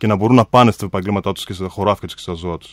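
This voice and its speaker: The speech comes very fast with ordinary pitch variation, recorded dry with no echo over a quiet background. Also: man. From Greece. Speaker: mayoral candidate. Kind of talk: radio interview. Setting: radio studio. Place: hall. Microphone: podium.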